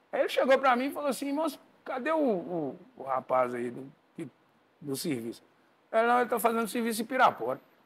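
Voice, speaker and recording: Speaking at a fairly quick pace, a man makes long, frequent pauses, and his loudness swings widely. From Brazil. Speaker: house painter and percussionist; podcast guest. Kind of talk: casual chat. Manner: halting. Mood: relaxed storytelling. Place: studio. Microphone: lapel.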